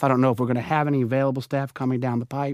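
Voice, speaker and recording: A man's fairly high voice in a New Orleans accent, dry and close with no echo, on a very clean recording with a silent background. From New Orleans, Louisiana. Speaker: dialysis travel services representative. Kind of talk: interview.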